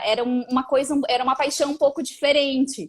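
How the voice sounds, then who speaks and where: A woman speaks in a high pitch. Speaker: lawyer. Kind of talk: casual interview.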